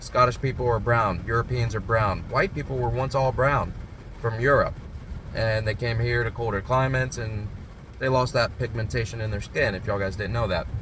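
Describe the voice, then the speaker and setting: Speaking at a fairly quick pace, a man with a medium pitch keeps his intonation fairly even amid audible room echo. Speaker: security company owner and vlogger. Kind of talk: personal vlog.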